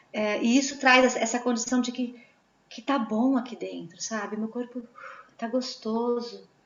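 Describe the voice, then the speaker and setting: A woman speaks with high pitch and fairly even intonation at a moderate pace. Noticeable background noise is present. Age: 40s. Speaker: Waldorf educator. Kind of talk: online talk answering questions.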